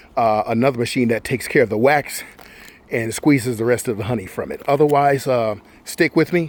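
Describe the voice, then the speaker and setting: Fairly even in intonation, the delivery runs fairly quick while noticeable background noise sits underneath. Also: man. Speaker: beekeeper. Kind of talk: tutorial. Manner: fast.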